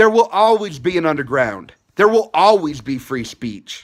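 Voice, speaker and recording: A man speaks in an animated tone with a high voice at a moderate pace. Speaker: YouTube commentator. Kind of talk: rant.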